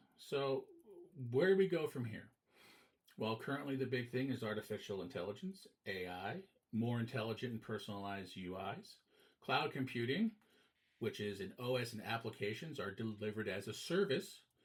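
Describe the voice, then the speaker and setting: A somewhat breathy male voice with lively intonation and long, frequent pauses, in a very clean recording with a silent background. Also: medium pitch for a man, moderate pace. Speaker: teacher. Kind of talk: lecture.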